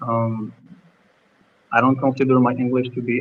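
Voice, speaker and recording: Speaking at a fairly slow pace, a man keeps a medium pitch and a monotone, flat intonation. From Algeria. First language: French. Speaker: former university student, professional using English at work. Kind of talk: live stream interview. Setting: live stream. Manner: halting, many fillers.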